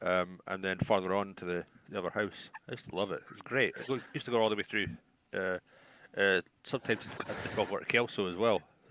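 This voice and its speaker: A man with an Edinburgh accent talks very fast in a fairly low pitch, his bright, sharp tone carried on fairly even intonation. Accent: Scottish (Edinburgh). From Scotland, Edinburgh. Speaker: livestream chat participant. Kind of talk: casual chat.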